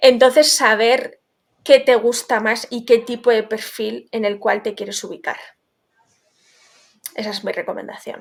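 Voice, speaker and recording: A woman speaks at a fairly slow pace with long, frequent pauses and big swings in loudness. Her pitch is fairly high and her intonation fairly even. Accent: Basque. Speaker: legal tech founder. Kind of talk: interview.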